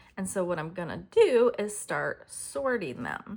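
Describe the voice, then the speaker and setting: At a moderate pace and medium pitch, a woman speaks in a somewhat breathy voice. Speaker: craft video host. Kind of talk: tutorial. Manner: casual, with fillers.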